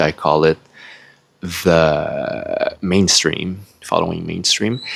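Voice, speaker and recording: Noticeable background noise sits behind a man who speaks very slowly with a non-native accent. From Quebec, Canada (French-speaking). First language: French. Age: 40s. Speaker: spiritual video blogger. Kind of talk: personal life story monologue. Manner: hesitant, with fillers.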